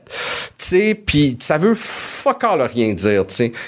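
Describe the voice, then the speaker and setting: A man's pitch swings very widely while noticeable background noise runs underneath. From Montreal, Quebec. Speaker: comedy writer. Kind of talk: casual chat.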